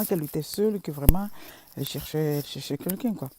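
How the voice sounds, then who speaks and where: Speaking very fast, a woman uses a dark, mellow tone with ordinary pitch variation. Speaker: social media vlogger. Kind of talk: casual vlog monologue. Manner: halting, many fillers and repetitions.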